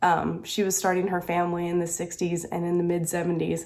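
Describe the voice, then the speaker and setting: A woman with an American accent talks at a moderate pace in a dark, mellow tone and a fairly low pitch. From US South. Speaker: crafting vlogger. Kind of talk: casual chat.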